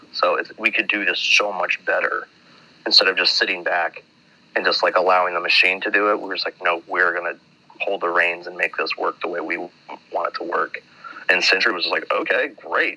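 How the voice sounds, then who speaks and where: A man speaks with an American accent at a moderate pace. Background noise is noticeable. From Minnesota, US. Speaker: metal band musician. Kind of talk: casual interview.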